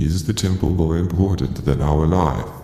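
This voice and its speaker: A man's put-on character voice, very deep and low, with clear echo. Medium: actual play. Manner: measured, formal.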